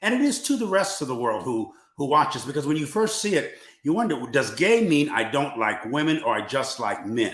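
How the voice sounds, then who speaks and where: A man at a fairly quick pace, with very wide pitch swings and audible room echo. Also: fairly high pitch for a man. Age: 70s. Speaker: church leader on discussion panel. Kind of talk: online panel discussion.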